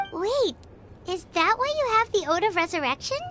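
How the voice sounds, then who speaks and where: A woman puts on a character voice at an extremely high pitch with very wide pitch swings. She keeps a moderate pace over clear background noise. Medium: video game. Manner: casual, curious.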